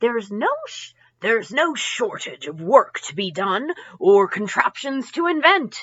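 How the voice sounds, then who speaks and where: Using a put-on character voice, a woman speaks high in pitch at a moderate pace. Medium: read story.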